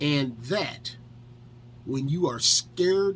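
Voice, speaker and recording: With an American accent, a man's fairly high, somewhat breathy voice moves with lively intonation. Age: 50s. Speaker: firearms instructor and detailing video creator. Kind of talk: tutorial. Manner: casual, conversational with fillers.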